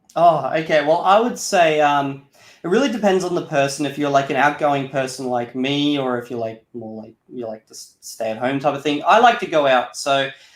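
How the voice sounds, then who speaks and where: With an unremarkable speaking voice, a man talks at a moderate pace in a fairly high pitch, using lively intonation and big swings in loudness. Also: hardly any pauses. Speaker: Esperanto YouTuber. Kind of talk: interview. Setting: live stream interview. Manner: casual, filler-heavy.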